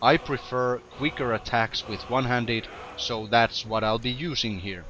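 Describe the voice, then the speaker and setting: Over noticeable background noise, a man talks at a fairly slow pace and medium pitch. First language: not English. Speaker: gaming video commentator. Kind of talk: game tutorial commentary.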